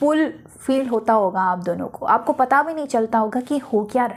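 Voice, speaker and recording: A woman speaks in a high pitch with lively intonation. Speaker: tarot card reader. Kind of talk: tarot reading monologue.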